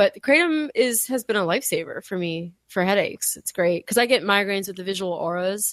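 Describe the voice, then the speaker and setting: In a plain, everyday voice, a woman of medium pitch talks at a fairly quick pace with lively intonation and hardly any pauses, the sound dry and close with no echo. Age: 40s. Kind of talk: casual chat.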